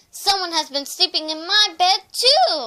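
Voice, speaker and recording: A woman puts on a squeaky character voice with an extremely high pitch, lively intonation and a moderate pace. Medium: read story.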